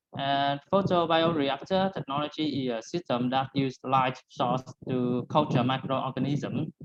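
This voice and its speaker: This speaker has a Vietnamese accent and keeps a moderate pace. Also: hardly any pauses. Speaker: student researcher presenter. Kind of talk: conference presentation. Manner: halting.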